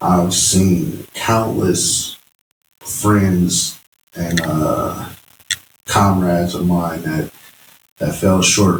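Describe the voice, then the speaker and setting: A man with a very deep, low pitch talks at a very slow pace. His intonation stays fairly even, broken by long, frequent pauses. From Fort Wayne, Indiana, US Midwest. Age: 30s. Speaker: clothing brand founder. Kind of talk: podcast interview. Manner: halting, many fillers.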